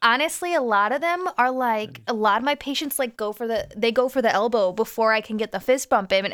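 She has a normal speaking voice, pitched fairly high. This woman talks at a fairly quick pace. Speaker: podcast co-host. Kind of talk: casual chat.

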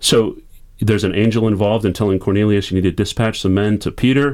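A man with a fairly low pitch and an American accent, fairly even intonation, on a very clean recording with a silent background. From US, military family. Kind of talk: radio interview. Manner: halting, many repeated words.

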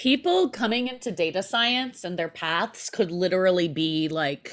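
A woman with an unremarkable speaking voice talks at a moderate pace with lively intonation. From New York City. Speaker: podcast host. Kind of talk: casual interview conversation.

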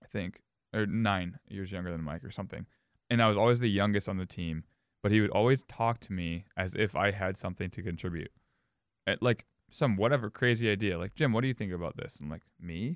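Recorded very cleanly against a silent background, with a dry, close sound and no echo, a man with an American accent uses a plain, everyday voice, fairly low in pitch with ordinary pitch variation, at a fairly quick pace. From Minnesota, Edina. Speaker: powerlifting coach. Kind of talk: casual chat.

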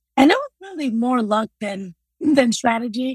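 A woman talks with lively intonation in a dry, close recording that has no echo. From Congo, moved to US at eight. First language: non-English African language. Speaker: math teacher and college coach. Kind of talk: interview.

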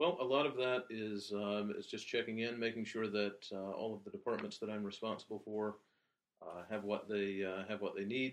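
With an American accent, a man speaks at a moderate pace in a fairly low pitch and fairly even intonation. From Alabama, Birmingham. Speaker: general manager. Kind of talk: interview.

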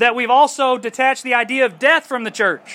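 In a raised, projected voice with a bright, sharp tone, the speaker goes at a fairly quick pace. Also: man. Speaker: preacher. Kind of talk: sermon. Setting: outdoors.

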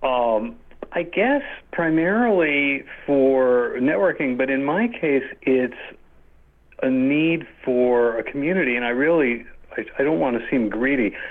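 A man talks at a fairly slow pace in an unremarkable speaking voice. His pitch is fairly high, with ordinary variation. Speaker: composer. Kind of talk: casual interview.

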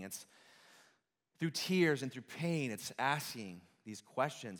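A man with a normal speaking voice, medium pitch, lively intonation and moderate pace. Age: 30s. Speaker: worship pastor. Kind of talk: sermon.

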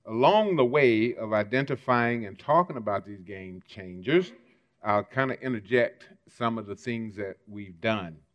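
A man with a plain, everyday voice speaks fairly slowly at a fairly low pitch, using ordinary pitch variation and big swings in loudness. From US South, Mississippi. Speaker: civil rights leader. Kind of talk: keynote speech.

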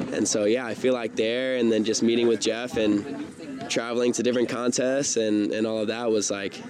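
Against noticeable background noise, a man with an American accent speaks at a medium pitch with fairly even intonation. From US South, South Carolina. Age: 20s. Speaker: professional skateboarder. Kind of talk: interview. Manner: casual, hesitant with fillers.

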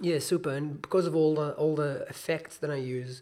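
A man with a somewhat breathy voice talks at a moderate pace, keeping his intonation fairly even. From Israel. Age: 20s. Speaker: musician. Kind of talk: casual chat.

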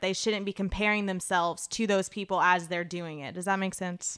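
The recording is very clean, with a silent background. On it, a woman talks. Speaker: aspiring nutrition and health model. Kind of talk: casual interview chat.

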